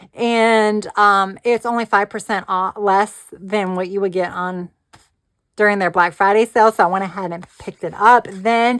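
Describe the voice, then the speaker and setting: A woman with an unremarkable speaking voice talks at a medium pitch and a fairly slow pace, with fairly even intonation. The sound is dry and close with no echo. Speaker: planner and crafting YouTuber. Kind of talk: casual product chat. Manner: casual with fillers.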